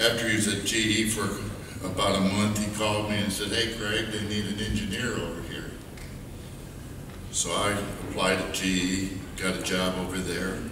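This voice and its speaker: Amid noticeable background noise and audible room echo, a man speaks at a fairly low pitch with monotone, flat intonation and long, frequent pauses. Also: moderate pace. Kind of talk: memorial speech. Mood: warm, reminiscing. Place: church. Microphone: podium.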